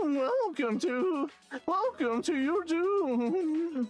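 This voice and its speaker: A high-pitched, put-on character voice at a very slow pace, with faint music in the background. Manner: menacing, mocking.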